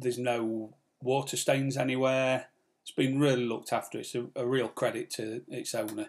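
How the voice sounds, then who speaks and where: With an English accent, a man talks in a medium-pitched voice. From England. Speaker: sailing vlogger. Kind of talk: live stream chat. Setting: live stream from home. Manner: fast.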